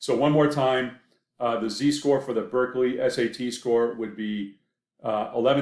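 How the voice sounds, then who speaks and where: A man with a slight Maine accent at a moderate pace, his intonation fairly even. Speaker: professor. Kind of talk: lecture. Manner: hesitant, many fillers.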